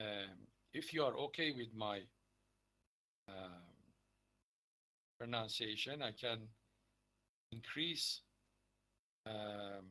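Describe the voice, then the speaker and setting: A man speaks at a very slow pace with long, frequent pauses. His medium pitch has ordinary variation and a bright, sharp tone. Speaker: university lecturer. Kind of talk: lecture. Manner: hesitant with fillers.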